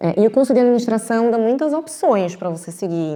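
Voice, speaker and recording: A woman with a Recife accent at a moderate pace. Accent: Pernambuco (Recife) accent, noticeable. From Recife, Pernambuco, Brazil. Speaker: marketing executive. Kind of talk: podcast interview.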